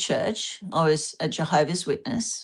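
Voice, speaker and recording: With an Australian accent, a woman speaks at a fairly slow pace with ordinary pitch variation. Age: 60s. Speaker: panel guest, religious abuse survivor. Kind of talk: group discussion and presentation.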